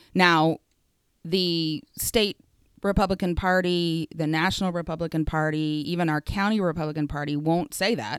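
With an American accent, a woman with an ordinary speaking voice talks at a moderate pace and fairly low pitch, with ordinary pitch variation, in a very clean recording with a silent background and a dry, close sound with no echo. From Oklahoma, Ponca City. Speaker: state representative and teacher. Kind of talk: interview.

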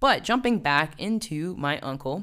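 Against a silent background in a very clean recording, a woman with an American accent speaks in an animated tone with lively intonation. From US South, West Virginia. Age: 30s. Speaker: fitness trainer and podcast host. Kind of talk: casual solo podcast talk.

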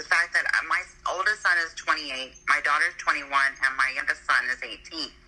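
Over noticeable background noise, a woman speaks at a moderate pace in a fairly low voice with ordinary pitch variation. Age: 50s. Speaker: guest discussing dating. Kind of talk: casual chat.

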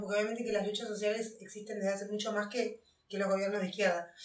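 Here a woman is talking. Her pace is very fast. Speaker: podcast co-host. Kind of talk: casual chat.

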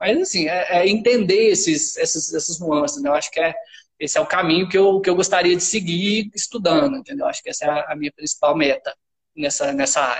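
Speaking at a fairly quick pace, a man with a high voice uses lively intonation. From Minas Gerais, Brazil. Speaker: university professor. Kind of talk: casual chat.

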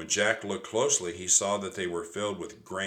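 The speaker is plainly reading aloud. Nothing more marks the delivery.

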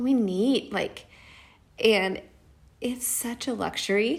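With an American accent, a woman with a fairly high voice speaks very slowly, leaving long, frequent pauses, her pitch varying in an ordinary way. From Nashville, Tennessee (US South). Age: 30s. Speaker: energy healer and mother. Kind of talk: interview conversation.

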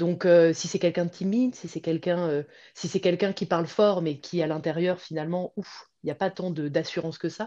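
The background is quiet. A woman with a fairly low pitch speaks at a moderate pace. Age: 40s. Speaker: pilates teacher and former professional dancer. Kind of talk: interview. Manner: hesitant, many fillers.

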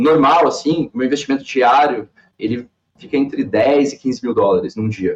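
In an unremarkable speaking voice, a man talks fairly slowly and fairly high with lively intonation, recorded with a dry, close sound and no echo. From Santa Catarina, Brazil (Balneário Camboriú area). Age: 30s. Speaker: professional poker player. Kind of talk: casual interview.

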